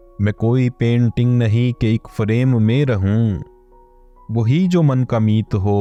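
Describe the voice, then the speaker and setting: There is music in the background while a man speaks. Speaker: poetry reciter. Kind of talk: poetry reading. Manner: emotive, precise enunciation.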